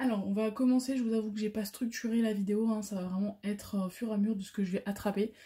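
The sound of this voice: Here a woman talks at a very fast pace with a medium pitch. Her tone is dark and mellow, and her intonation stays fairly even.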